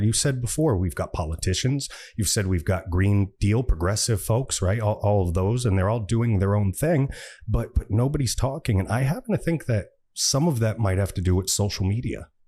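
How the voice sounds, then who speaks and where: A man with a US East Coast accent talks at a fairly quick pace in a medium pitch, his tone dark, mellow and somewhat breathy. The recording is very clean, with a silent background. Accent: US East Coast American. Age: 60s. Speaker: podcast host. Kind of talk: interview.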